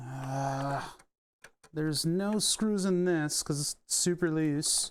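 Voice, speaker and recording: A very clean recording with a silent background, in an American accent. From US Northeast, Philadelphia. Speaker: electronics repair streamer. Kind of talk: live stream teardown commentary. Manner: casual, thinking aloud.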